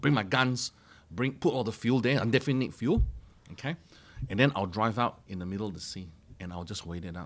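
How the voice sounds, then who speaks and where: Loud and animated, a man with a medium pitch talks very fast with lively intonation and long, frequent pauses. The recording is very clean with a silent background. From Malaysia. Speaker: mortgage broker. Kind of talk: casual chat.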